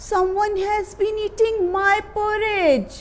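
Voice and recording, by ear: A soft-spoken woman in a put-on character voice, extremely high-pitched and very slow, over clear background noise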